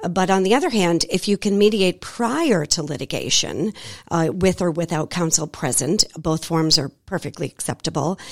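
A woman with an American accent speaks at a moderate pace in a fairly low voice with ordinary pitch variation, recorded very cleanly against a silent background with a dry, close sound and no echo. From Boston, Massachusetts. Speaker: divorce coach. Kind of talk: radio interview. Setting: radio studio.

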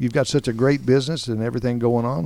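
This man has an ordinary speaking voice at a medium pitch. He talks at a fairly quick pace. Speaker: radio host. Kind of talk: interview. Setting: studio.

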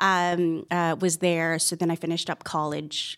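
A woman with an ordinary speaking voice talks fairly slowly at a fairly low pitch, heard on a very clean recording with a silent background. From Canada, Toronto. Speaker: estate planning attorney. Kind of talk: interview. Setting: studio.

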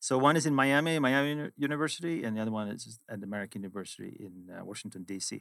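A man with a Swedish accent and a medium pitch talks at a very fast pace with hardly any pauses, lively intonation and big swings in loudness, on a very clean recording with a silent background. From Sweden. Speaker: finance executive. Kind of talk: interview. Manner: direct.

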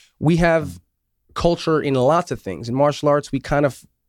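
A man's plain, everyday voice, fairly high in pitch, with an American accent, ordinary pitch variation and a moderate pace, in a very clean recording with a silent background and a dry, close sound with no echo. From New York State, Syracuse. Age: 40s. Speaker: martial arts instructor. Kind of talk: radio interview. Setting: radio studio.

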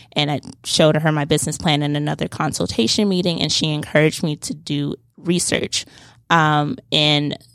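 The voice has vocal fry and moves at a moderate pace. The recording is very clean, with a silent background. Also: woman. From Atlanta, Georgia. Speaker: student entrepreneur. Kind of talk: interview. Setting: studio.

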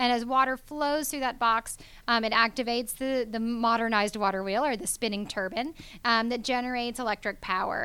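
A woman talks at a fairly quick pace in a bright, sharp tone, her pitch fairly high. Her intonation is fairly even, and the recording is very clean with a silent background. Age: young. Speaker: hydropower company founder. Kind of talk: interview. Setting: studio.

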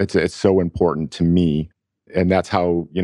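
Speaking at a fairly quick pace, a man with an American accent uses a very deep, low pitch and monotone, flat intonation, in a dry, close sound with no echo. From Buffalo, New York. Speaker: IT company CEO. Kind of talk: radio interview. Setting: studio.

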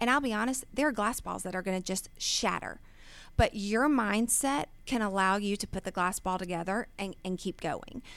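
An ordinary speaking voice from a woman with an American accent, medium pitch, ordinary pitch variation and moderate pace, on a very clean recording with a silent background. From Georgia, US (Gwinnett County). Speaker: business owner and CEO. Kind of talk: interview. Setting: studio.

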